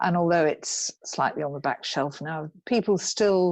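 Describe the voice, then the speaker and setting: A woman speaks in a southern English accent with a fairly low pitch and ordinary pitch variation. Her pace is moderate, and the background is quiet. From England, Cambridge. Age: 60s. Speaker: equestrian rider and author. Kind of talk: interview. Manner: halting.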